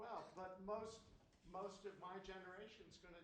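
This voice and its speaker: A high-pitched male voice at a fairly slow pace, with audible room echo. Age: 80s+. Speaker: class participant. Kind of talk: casual chat.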